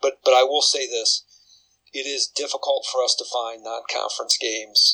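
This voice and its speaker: A man with a Midwestern US accent, at a moderate pace. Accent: US Midwest. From Iowa. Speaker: college football head coach. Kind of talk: interview.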